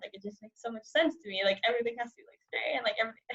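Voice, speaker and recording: This woman has a Californian accent. Her pitch is fairly high. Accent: Californian American English. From San Francisco, US. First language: Cantonese. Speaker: journalism student. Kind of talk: casual interview chat.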